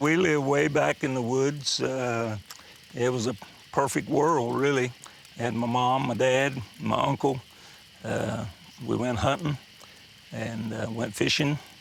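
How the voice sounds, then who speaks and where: At a fairly slow pace, a man with a medium pitch and ordinary pitch variation speaks with long, frequent pauses over noticeable background noise. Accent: American. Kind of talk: personal storytelling. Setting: fireside gathering.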